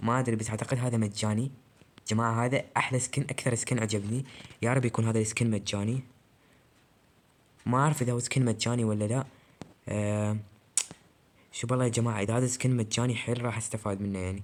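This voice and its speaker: A man speaks quietly in a monotone, flat intonation at a fairly quick pace, broken by long, frequent pauses. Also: medium pitch for a man. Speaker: gaming YouTuber. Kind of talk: casual gameplay commentary. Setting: recording alone at night. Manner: quiet, subdued voice.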